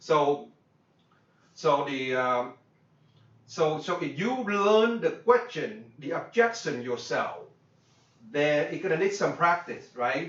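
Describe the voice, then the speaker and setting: Speaking with a Vietnamese accent, a man talks at a very slow pace and a fairly high pitch, with very wide pitch swings, long, frequent pauses and audible room echo. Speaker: business coach. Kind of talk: workshop lecture. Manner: halting, many fillers and repeats.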